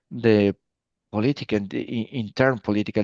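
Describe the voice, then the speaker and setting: Over a quiet background, a man speaks with fairly even intonation in a dry, close sound with no echo. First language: Spanish. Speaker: emergency medical physician. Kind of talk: interview. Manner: halting.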